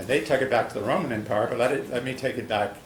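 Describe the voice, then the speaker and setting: Echo from the room can be heard. The pitch moves fairly evenly. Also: man. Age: 70s. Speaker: public commenter at city meeting. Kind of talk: public comment speech. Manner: halting.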